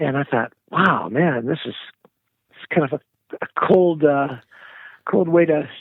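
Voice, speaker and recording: A man with a fairly high pitch speaks at a fairly slow pace with ordinary pitch variation and long, frequent pauses. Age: 60s. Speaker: musician. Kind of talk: interview. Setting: podcast interview.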